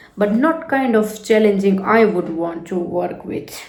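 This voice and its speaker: A woman speaks at a medium pitch, with audible room echo. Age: 30s. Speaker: vlogger. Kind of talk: personal reflection monologue. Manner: casual, with many fillers.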